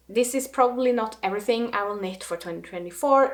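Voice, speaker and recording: Speaking with a Norwegian accent, the voice moves at a fairly quick pace. Pitch varies in an ordinary way, with noticeable background noise. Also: woman. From Norway. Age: 30s. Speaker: knitting vlogger. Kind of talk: casual vlog monologue.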